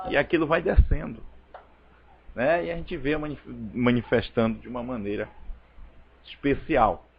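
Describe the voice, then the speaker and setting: With lively intonation, a man talks over noticeable background noise. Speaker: preacher. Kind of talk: sermon. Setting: church service streamed online.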